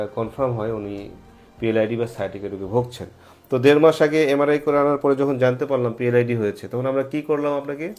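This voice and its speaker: Music plays in the background behind a man. His medium-pitched voice shows ordinary pitch variation. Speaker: anesthesiologist and pain medicine doctor. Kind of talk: patient testimonial interview and medical explanation.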